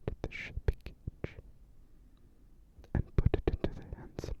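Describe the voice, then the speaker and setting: A man whispering in a soothing tone at a fairly slow pace, dry and close with no echo, amid noticeable background noise. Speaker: ASMR storyteller. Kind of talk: bedtime fairy tale reading. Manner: whispered; soft, soothing.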